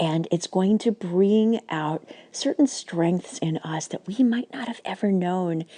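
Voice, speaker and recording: At a fairly slow pace, a woman with a medium pitch and a dark, mellow tone speaks with lively intonation in a dry, close sound with no echo. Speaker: spiritual teacher and healer. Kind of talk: casual inspirational vlog monologue. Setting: at home on the couch. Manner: softer, lowered voice.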